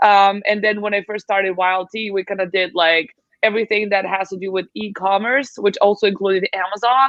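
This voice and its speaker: A woman in a Serbian accent, medium in pitch, at a fairly quick pace with hardly any pauses. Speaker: translation agency founder. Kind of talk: podcast interview.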